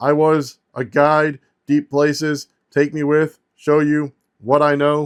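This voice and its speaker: A put-on character voice from a man, fairly high in pitch, monotone and flat, at a fairly slow pace. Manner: halting, broken speech.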